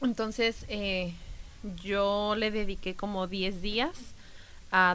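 Woman's voice at a medium pitch. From Mexico. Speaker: travel podcast co-host. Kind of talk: casual chat.

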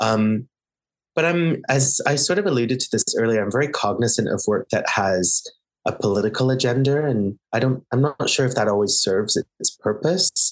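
A man with a plain, everyday voice speaks at medium pitch and a moderate pace, his intonation lively and his loudness very even, in a dry, close recording with no echo. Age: 30s. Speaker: theatre director. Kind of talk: interview.

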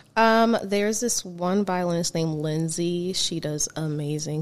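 At a moderate pace, a woman talks in a normal speaking voice with a fairly low pitch. The recording is very clean, with a silent background. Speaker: singer and violinist. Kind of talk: casual interview chat.

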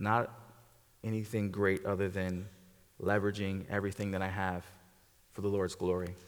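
With long, frequent pauses, a man at fairly low pitch speaks amid audible room echo. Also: moderate pace. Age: 40s. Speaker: guest pastor. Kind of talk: sermon. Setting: church. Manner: animated.

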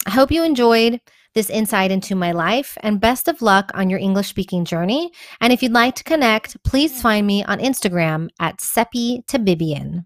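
A woman's normal speaking voice with an American accent, fairly high in pitch, lively in intonation and moderate in pace, in a dry, close sound with no echo on a very clean recording with a silent background. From Texas, Houston. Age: 30s. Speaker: community organizer and blogger. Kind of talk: scripted narration.

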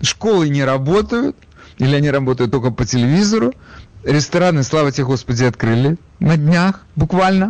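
Lively intonation carries a plain, everyday voice. Its loudness stays very even. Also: man, fairly high pitch for a man, moderate pace. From Ukraine, Odesa. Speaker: radio talk show host. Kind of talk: call-in radio talk show.

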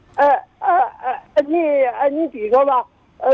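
Pitched extremely high, a man speaks at a moderate pace with lively intonation. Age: 80s+. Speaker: caller. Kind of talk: phone-in advice call. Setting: phone call. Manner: halting.

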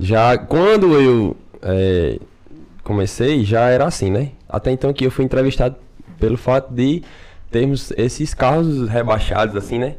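Against a quiet background, a man with a plain, everyday voice speaks at a medium pitch with ordinary pitch variation. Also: fairly slow pace. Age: 20s. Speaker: podcast host, guest. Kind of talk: casual chat.

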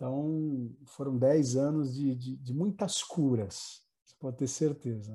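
On a very clean recording with a silent background, a man at medium pitch speaks fairly slowly, his dark, mellow tone somewhat breathy. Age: 30s. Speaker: pastor. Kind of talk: casual chat.

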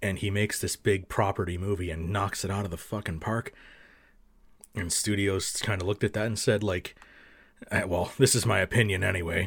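A man speaks at a fairly quick pace with a fairly low pitch and a somewhat breathy quality. The recording is very clean, with a silent background. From French Canada. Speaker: YouTube film reviewer. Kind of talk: casual chat.

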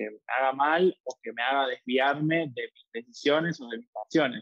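A man with a medium-pitched voice delivers his words at a moderate rate. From Argentina. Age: 20s. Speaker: figure skater and musical theatre dancer. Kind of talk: interview. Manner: hesitant, many fillers.

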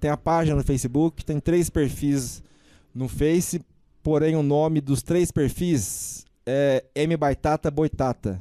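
The voice has a dark, mellow tone, heard dry and close with no echo. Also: man. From Brazil, interior of São Paulo state (Batatais). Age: 40s. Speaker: social media page founder. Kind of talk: podcast interview.

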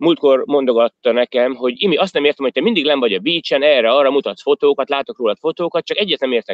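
With a plain, everyday voice, a man speaks at a fairly high pitch using lively intonation. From Hungary. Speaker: emigrant business manager and fitness trainer. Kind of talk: interview.

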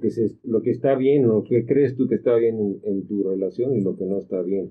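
This man has a normal speaking voice. His pitch is medium and varies in an ordinary way. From Mexico, Acapulco (Guerrero). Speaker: gynecologist. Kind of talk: casual panel discussion.

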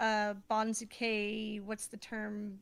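The voice belongs to a woman. Her pitch is fairly high. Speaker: sumo podcast co-host. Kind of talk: casual chat. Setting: online stream room. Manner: animated.

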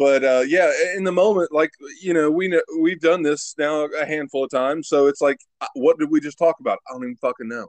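With an American accent, a man uses a normal speaking voice at a fairly high pitch with ordinary pitch variation, recorded with a dry, close sound and no echo. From West Virginia, Huntington. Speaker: podcast host. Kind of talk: casual chat.

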